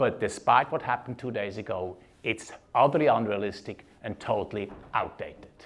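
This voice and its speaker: A man with a Swiss German accent, medium pitch, ordinary pitch variation and a fairly quick pace. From Switzerland (German-speaking). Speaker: leadership keynote speaker. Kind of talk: keynote speech.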